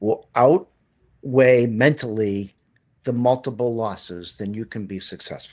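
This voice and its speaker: A man talks at a fairly slow pace and a medium pitch, with ordinary pitch variation. His loudness swings a lot, and the background is quiet. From Boston. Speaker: real estate agent, business owner. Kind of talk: interview answer.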